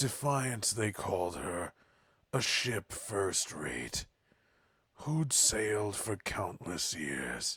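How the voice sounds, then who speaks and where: A man uses a put-on character voice, raspy and fairly low. His pitch swings very widely and his pace is very slow. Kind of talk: improvised game voice acting. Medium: game stream. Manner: rhyming, ballad-like narration.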